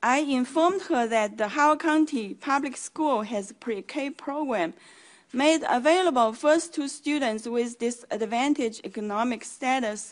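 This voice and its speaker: With a Chinese accent, a woman talks at a moderate pace in a high voice, her pitch varying in an ordinary way over a quiet background. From China. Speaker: community advocate. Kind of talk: public hearing testimony. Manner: formal.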